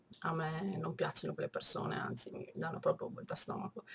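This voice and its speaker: A woman's nasal, fairly low-pitched voice. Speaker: book reviewer. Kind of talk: casual talk to camera.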